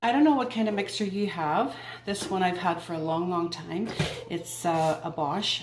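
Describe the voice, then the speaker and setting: A woman at medium pitch and moderate pace, ordinary pitch variation, audible room echo and noticeable background noise. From Northern Ireland. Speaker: home baking video host. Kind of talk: cooking tutorial. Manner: friendly, chatty.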